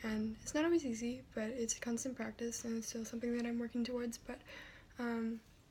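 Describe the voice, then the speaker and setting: The speaker is soft-spoken and moves at a fairly quick pace. Background noise is noticeable. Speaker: video blogger. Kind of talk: personal vlog. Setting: at home. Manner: soft-spoken, talking quietly; halting, many fillers.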